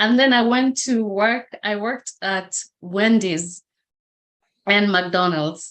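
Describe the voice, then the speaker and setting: With a Kenyan accent, a woman speaks at a very slow pace with long, frequent pauses. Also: medium pitch for a woman, ordinary pitch variation. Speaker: motivational speaker. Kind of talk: interview testimony.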